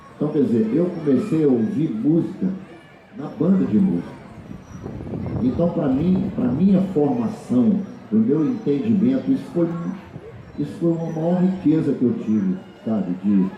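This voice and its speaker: At a fairly slow pace, a man speaks with a fairly high pitch and very wide pitch swings, leaving long, frequent pauses. Noticeable background noise and audible room echo are present. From Brazil, Rio de Janeiro state near Minas Gerais border. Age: 60s. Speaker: choro musician and festival organizer. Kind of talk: panel talk. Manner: halting, many repetitions.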